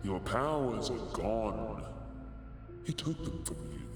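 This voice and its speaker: A man's put-on character voice at a fairly slow pace, over loud background music and clear echo. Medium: audio drama. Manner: cold, cutting.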